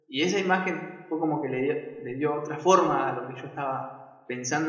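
Over noticeable background noise and audible room echo, a man with a fairly high voice speaks at a moderate pace. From Argentina, Buenos Aires province. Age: 20s. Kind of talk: devotional talk. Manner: halting, with frequent repetitions.

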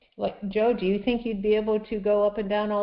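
Noticeable background noise behind a fairly high-pitched female voice. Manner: upbeat, laughs often.

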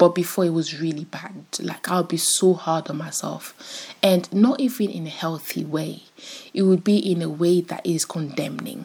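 In an ordinary speaking voice, a woman talks at a moderate pace with fairly low pitch, ordinary pitch variation and big swings in loudness. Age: 20s. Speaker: podcast host. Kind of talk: casual solo podcast monologue. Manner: casual, chatty.

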